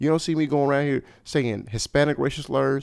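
A man speaks in a plain, everyday voice. His pitch is fairly high, with ordinary pitch variation. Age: 30s. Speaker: podcast host. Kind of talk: casual chat.

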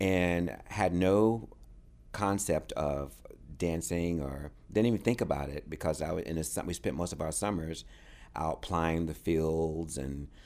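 Here a man speaks with an American accent in a very deep, low voice. He talks at a fairly slow pace. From North Carolina, US South. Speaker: dancer and choreographer. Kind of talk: interview. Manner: animated.

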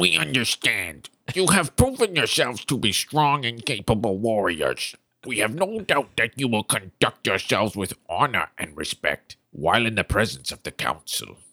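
A man puts on a character voice, keeping a medium pitch and moving at a moderate pace. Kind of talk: formal fantasy speech. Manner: formal, measured.

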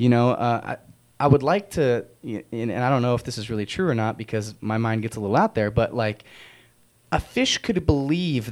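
This is an ordinary speaking voice. It moves at a moderate pace with lively intonation. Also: man. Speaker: radio health show host. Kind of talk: casual chat.

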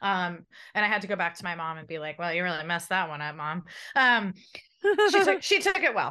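A woman with a bright, sharp tone and a fairly low pitch speaks at a fairly quick pace with ordinary pitch variation, leaving long, frequent pauses against a quiet background. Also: big swings in loudness. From San Diego, California. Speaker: journalist, radio co-host. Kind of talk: interview conversation. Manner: chatty.

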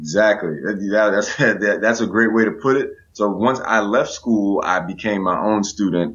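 A man talks in a plain, everyday voice with an American accent, pitched fairly low. His pace is moderate with hardly any pauses, his loudness very even and his pitch variation ordinary. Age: 20s. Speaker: STEM educator. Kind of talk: interview.

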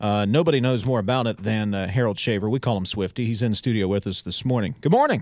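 A man's upbeat, fairly low voice at a very fast pace. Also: ordinary pitch variation. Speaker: radio host.

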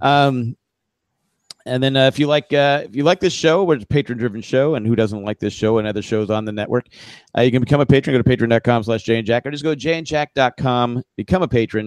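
A man talks in an unremarkable speaking voice at a medium pitch and a fairly quick pace, with ordinary pitch variation. The sound is dry and close with no echo, over a quiet background. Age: middle-aged. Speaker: podcast co-host. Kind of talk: casual chat.

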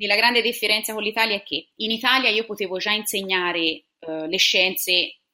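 A woman's bright, sharp tone at a moderate pace, with ordinary pitch variation. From Tuscany, Italy (Siena). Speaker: science teacher. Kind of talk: interview.

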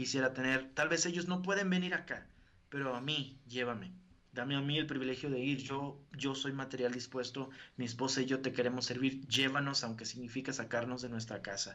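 Speaking in a northern Mexican accent, a man talks at a fairly quick pace, with medium pitch and fairly even intonation. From northern Mexico, Río Bravo, Tamaulipas. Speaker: evangelical preacher. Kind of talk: interview testimony. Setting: video call.

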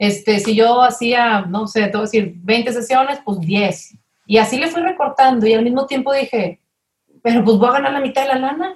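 At a moderate pace, a woman speaks in a normal speaking voice, fairly high in pitch, with ordinary pitch variation. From Mexico, Monterrey. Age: 30s. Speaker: family consultant. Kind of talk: interview conversation.

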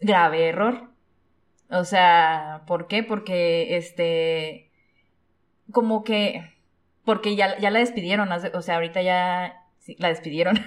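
Very slow, with long and frequent pauses, a woman speaks with fairly even intonation. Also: medium pitch for a woman. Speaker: podcast co-host. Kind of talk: casual chat.

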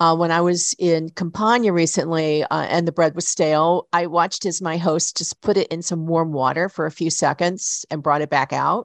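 A woman with an American accent speaks at a moderate pace in an ordinary speaking voice, her fairly low pitch moving in fairly even intonation with hardly any pauses. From US South, Chattanooga, Tennessee. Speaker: radio host. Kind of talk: radio interview.

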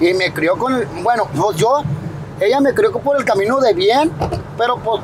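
Noticeable background noise sits under a man's high-pitched voice, which carries lively intonation. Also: moderate pace. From Sinaloa, Mexico (El Dorado, raised in Culiacán). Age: 30s. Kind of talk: casual interview chat. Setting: outdoors on the street. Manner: halting, repetitive.

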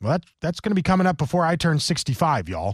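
A man with an American accent talks at a fairly quick pace in a somewhat breathy voice. The recording is very clean, with a silent background. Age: 40s. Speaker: political talk radio host. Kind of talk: political talk radio monologue.

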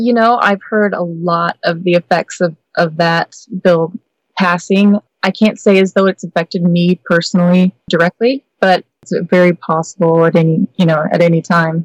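A woman's unremarkable speaking voice, fairly low in pitch, with very even loudness and fairly even intonation. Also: moderate pace, dry, close sound with no echo. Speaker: BDSM website performer. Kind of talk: interview chat.

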